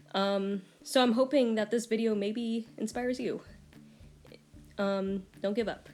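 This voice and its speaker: With music in the background, a woman at a fairly high pitch speaks at a fairly slow pace, her intonation fairly even and her pauses long and frequent. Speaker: artist and video creator. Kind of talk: casual vlog advice talk. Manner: stuttering and hesitant with fillers.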